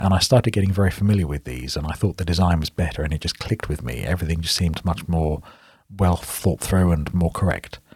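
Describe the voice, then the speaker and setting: A man's very deep, low voice with a British accent, somewhat breathy, at a very fast pace with ordinary pitch variation. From England. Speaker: software developer.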